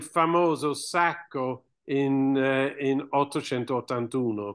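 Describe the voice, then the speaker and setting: The speaker has an English accent and talks at a very slow pace with ordinary pitch variation. The background is quiet. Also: man. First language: English (speaking Italian). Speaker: archaeologist and author. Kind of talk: book presentation interview. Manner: halting, with hesitations. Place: home room. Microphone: webcam.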